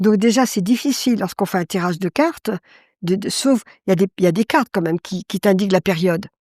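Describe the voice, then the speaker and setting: In a very clean recording with a silent background and a dry, close sound with no echo, a woman speaks very fast at a medium pitch with ordinary pitch variation. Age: 70s. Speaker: card reader and medium. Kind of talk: interview testimony. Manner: halting.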